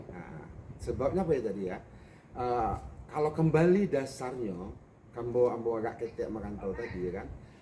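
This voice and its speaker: Speaking at a moderate pace with long, frequent pauses, a man of medium pitch swings his voice very widely, and the room echo is audible. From West Sumatra (Pariaman area, Minangkabau). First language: Minangkabau (speaking Indonesian). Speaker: bus company owner. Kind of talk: interview. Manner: halting.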